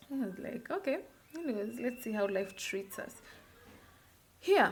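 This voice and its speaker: With a Kenyan accent, a woman speaks with a fairly high pitch. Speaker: beauty vlogger. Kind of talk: casual storytime vlog.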